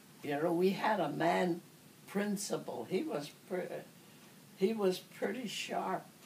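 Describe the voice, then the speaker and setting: Over noticeable background noise, a woman speaks very slowly at medium pitch with ordinary variation, leaving long, frequent pauses. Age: 80s+. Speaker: elderly interviewee. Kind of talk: oral history interview. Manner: halting.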